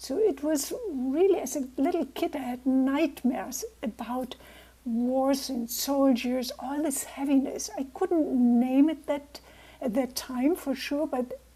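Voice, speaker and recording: A woman with a German accent speaks at a very slow pace. Her voice is high-pitched with a dark, mellow tone and ordinary pitch variation. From Germany. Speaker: naturopath and peace builder. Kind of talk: talk to a club over video call. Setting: video call.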